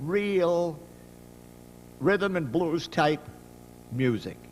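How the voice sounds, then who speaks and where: A man talks at a high pitch. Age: 70s. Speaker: jazz drummer. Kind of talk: panel storytelling. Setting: symposium panel with audience. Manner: animated.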